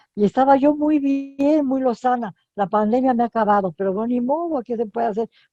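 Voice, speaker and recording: Dry and close with no echo, a woman's dark, mellow tone carries ordinary pitch variation at a moderate pace. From Mexico. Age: 90s. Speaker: writer. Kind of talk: interview. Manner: halting, with false starts.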